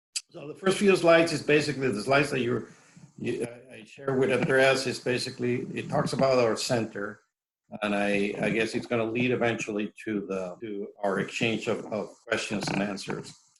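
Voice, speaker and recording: With a Mexican accent, a man speaks at medium pitch with ordinary pitch variation and big swings in loudness. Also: moderate pace. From Mexico. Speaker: professor. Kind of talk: lecture. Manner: halting, many fillers and repetitions.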